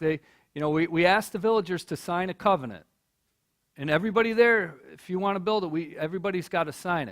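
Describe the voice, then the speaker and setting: Very fast and animated, this voice with an American accent swings very widely in pitch on a very clean recording with a silent background. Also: man. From US Midwest, Michigan. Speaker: nonprofit leader giving a talk. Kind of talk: speech to college audience. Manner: animated storytelling.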